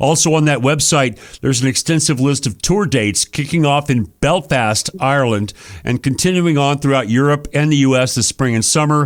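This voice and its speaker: A man's fairly high voice, an ordinary speaking voice, at a moderate pace with hardly any pauses, ordinary pitch variation and very even loudness. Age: 60s. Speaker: radio host and rock musician. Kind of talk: radio interview.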